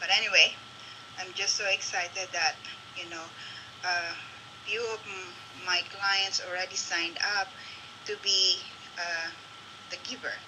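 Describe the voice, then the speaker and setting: With noticeable background noise behind her, a woman with a Filipino accent speaks at a moderate pace and medium pitch, using monotone, flat intonation and long, frequent pauses. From Philippines. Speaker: local business promoter. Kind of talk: live-stream chat. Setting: Facebook live video. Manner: halting.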